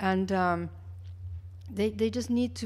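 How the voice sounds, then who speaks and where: With audible room echo around her, a woman speaks at a moderate pace in a monotone, flat intonation. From Mexico (Mexico City). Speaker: public health official. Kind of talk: keynote lecture. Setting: conference stage with audience. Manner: halting, many fillers and restarts.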